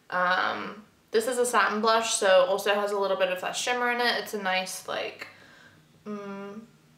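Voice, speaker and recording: The speech comes at a moderate pace in a monotone, flat intonation, with audible room echo and noticeable background noise. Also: woman, medium pitch for a woman. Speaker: beauty youtuber. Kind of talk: makeup collection review. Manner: casual, filler-heavy.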